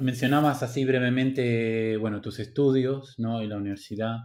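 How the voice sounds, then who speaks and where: A man speaks with fairly even intonation, and the room echo is audible. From Argentina, Buenos Aires. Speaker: podcast host. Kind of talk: interview.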